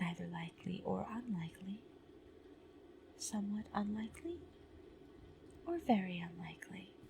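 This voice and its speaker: The speaker uses a calm tone with long, frequent pauses, over noticeable background noise. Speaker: ASMR content creator playing a product-testing researcher. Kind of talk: ASMR role-play survey questions, soft spoken personal attention. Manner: soft-spoken, slow, calm.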